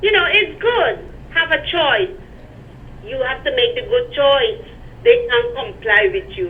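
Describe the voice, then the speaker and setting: A woman with a Guyanese accent speaks at an extremely high pitch with very wide pitch swings, at a fairly slow pace with long, frequent pauses, over noticeable background noise. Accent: Guyanese Creole English. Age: 60s. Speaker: caller. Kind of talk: call-in political complaint. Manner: animated.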